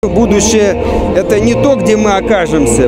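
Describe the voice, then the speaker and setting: A man at a fairly slow pace, dry sound with no echo, and loud music in the background. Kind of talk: interview answer. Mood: upbeat, festive. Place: street. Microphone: handheld.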